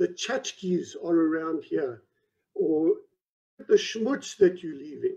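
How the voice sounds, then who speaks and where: The pace is very slow, and the background is quiet. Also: man. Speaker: presenter. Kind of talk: lecture. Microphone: video call.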